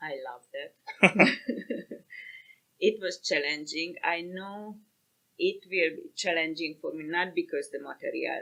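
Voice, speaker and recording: Her volume swinging widely from loud to soft, a woman talks very slowly. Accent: Hungarian. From Hungary. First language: Hungarian. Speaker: paramedic. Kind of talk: interview. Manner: halting.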